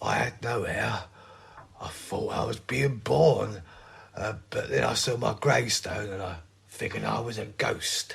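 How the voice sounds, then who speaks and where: In a raspy put-on character voice, a man speaks at medium pitch. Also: moderate pace. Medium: audio drama. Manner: mild, baffled.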